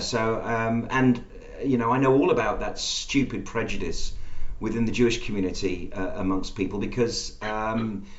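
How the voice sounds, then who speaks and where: With an English accent, a man speaks at medium pitch and a moderate pace with fairly even intonation. Audible room echo and noticeable background noise fill the recording. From England (Birmingham roots). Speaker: podcast host. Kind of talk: interview.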